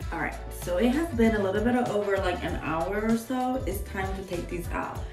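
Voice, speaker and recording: Over clear music in the background, a woman talks at a fairly quick pace. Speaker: beauty vlogger. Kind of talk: casual voice-over hair tutorial. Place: home room. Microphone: phone near.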